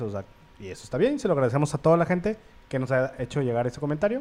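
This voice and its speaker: A man with a Mexican accent and a fairly high pitch. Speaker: podcast co-host. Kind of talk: casual chat.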